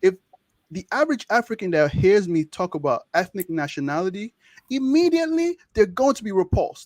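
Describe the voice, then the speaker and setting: Spoken with a Nigerian accent at a fairly quick pace, the voice shows very wide pitch swings and big swings in loudness. The sound is dry and close, with no echo. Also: man, high pitch for a man. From Nigeria (Ijaw). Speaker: medical student, social media creator. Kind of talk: interview conversation. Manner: animated.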